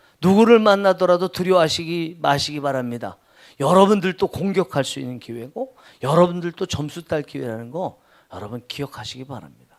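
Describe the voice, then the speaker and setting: A man with a high pitch and lively intonation is heard on a very clean recording with a silent background. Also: fairly quick pace, big swings in loudness. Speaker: pastor. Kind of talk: sermon. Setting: church. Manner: loud, raising voice.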